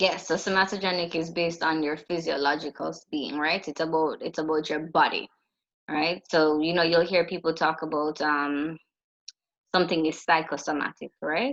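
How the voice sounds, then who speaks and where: A woman's very deep, low voice, monotone and flat, over a quiet background. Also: moderate pace. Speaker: psychology lecturer. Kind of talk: lecture.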